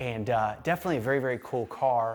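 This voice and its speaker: In an ordinary speaking voice, a man speaks at a fairly quick pace. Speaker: car channel host. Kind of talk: upbeat intro to camera.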